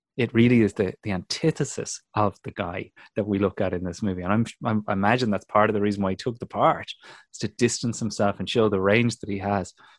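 A man with a Dublin accent talks at a very fast pace and fairly low pitch. The sound is dry and close with no echo, on a very clean recording with a silent background. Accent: Irish (Dublin). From Dublin, Ireland. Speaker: comedian and podcast host. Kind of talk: casual chat. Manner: animated.

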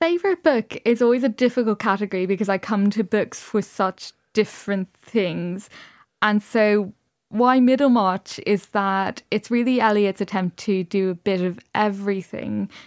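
A woman with a Dublin accent at medium pitch and moderate pace, with ordinary pitch variation, very even loudness and a dry, close sound with no echo on a very clean recording with a silent background. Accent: Dublin Irish. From Dublin, Ireland. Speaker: novelist. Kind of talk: radio interview.

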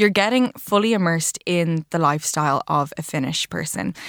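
With an Irish accent, a woman speaks at a moderate pace and fairly low pitch with lively intonation, the sound dry and close with no echo on a very clean recording with a silent background. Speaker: wellness commentator. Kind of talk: news roundup chat.

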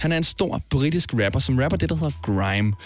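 Vocal fry, very wide pitch swings and a moderate pace. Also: man. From Denmark. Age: 20s. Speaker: podcast host. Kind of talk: podcast narration and interview.

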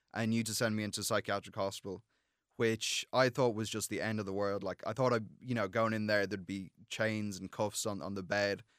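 A man with an Irish accent, fairly low in pitch, at a very fast pace with fairly even intonation, in a dry, close sound with no echo and a very clean recording over a silent background. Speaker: student and mental health founder. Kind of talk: interview. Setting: studio. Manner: halting.

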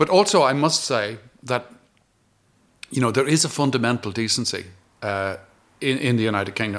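A man with an Irish accent, medium pitch and lively intonation, at a fairly quick pace broken by long, frequent pauses. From Ireland. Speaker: retired diplomat. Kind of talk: interview. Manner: halting.

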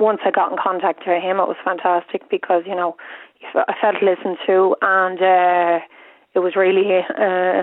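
The speaker has an Irish accent and a monotone, flat intonation. The pace is moderate. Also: woman, medium pitch for a woman. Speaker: caller. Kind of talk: radio phone-in. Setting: phone call. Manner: halting.

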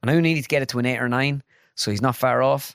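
A man with an Irish accent, medium pitch, lively intonation and a very fast pace, on a very clean, dry, close recording with no echo and a silent background. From Ireland (midlands). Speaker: comedian and sketch video maker. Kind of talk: casual chat. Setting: studio.

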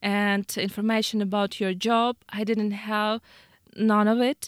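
A woman with a Ukrainian accent and a fairly high-pitched voice, at a very slow pace with monotone, flat intonation, in a very clean recording with a silent background and a dry, close sound with no echo. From Ukraine. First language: Ukrainian or Russian. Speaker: war refugee, business owner. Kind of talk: radio interview. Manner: halting.

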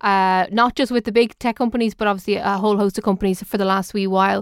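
Very fast speech in an Irish accent with fairly even intonation, a very clean recording with a silent background, and a dry, close sound with no echo. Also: woman. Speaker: radio tech show host. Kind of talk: radio talk show. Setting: radio studio.

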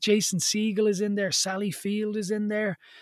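A man talks at a moderate pace with an Irish accent. The sound is dry and close, with no echo. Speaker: radio host. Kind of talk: radio show presenter, interviewing. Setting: radio studio.

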